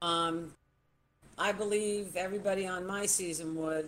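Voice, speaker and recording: The speaker has a plain, everyday voice with fairly even intonation. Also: woman. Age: 60s. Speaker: former reality show contestant. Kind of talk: casual chat.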